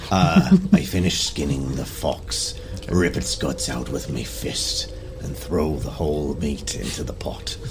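Over loud background noise, a man puts on a husky character voice and speaks at a fairly slow pace. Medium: actual play. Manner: terse, one-note, gruff.

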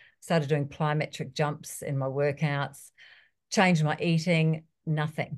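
A woman with a New Zealand accent speaks at a fairly low pitch and sounds somewhat breathy. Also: quiet background. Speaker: personal trainer. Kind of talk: interview.

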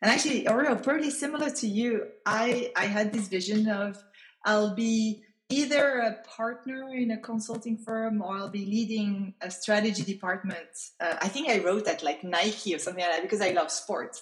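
Against noticeable background noise, a woman speaks at a fairly high pitch and moderate pace with lively intonation. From France, raised in several countries. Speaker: crypto foundation CEO. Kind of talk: casual interview conversation.

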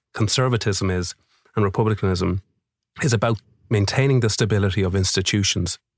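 Somewhat breathy speech in an Irish accent comes at a fairly quick pace. The very clean recording has a silent background and a dry, close sound with no echo. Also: man. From Ireland. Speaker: musician and mental health advocate. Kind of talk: interview. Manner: animated.

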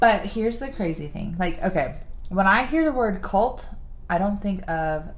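Speaking at a moderate pace, a woman uses a plain, everyday voice at a medium pitch with lively intonation. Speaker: podcast host. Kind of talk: casual chat.

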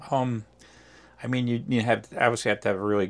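In a flat monotone, a man with an American accent speaks on a very clean recording with a silent background. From New Jersey. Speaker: racing driver and team owner. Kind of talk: interview. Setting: at a racetrack.

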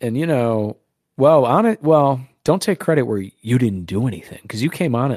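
A man at medium pitch has an ordinary speaking voice with lively intonation. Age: 20s. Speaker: podcast co-host. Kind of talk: casual chat.

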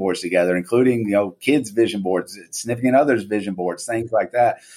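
In a very clean recording with a silent background, a man with a fairly low pitch speaks in a plain, everyday voice. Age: 40s. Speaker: real estate brokerage CEO. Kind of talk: interview.

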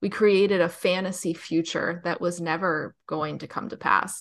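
Against a quiet background, a woman with an American accent speaks in a bright, sharp tone. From New Jersey. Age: 30s. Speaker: author and dating podcast host. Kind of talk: casual interview chat.

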